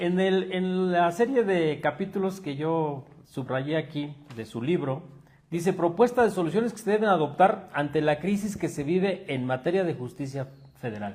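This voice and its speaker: A man's high-pitched voice with lively intonation. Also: moderate pace. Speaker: magazine interviewer. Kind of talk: interview.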